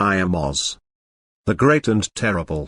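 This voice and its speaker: A man puts on a growling, shaky character voice with fairly low pitch, speaking at a moderate pace. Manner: frightened, pleading.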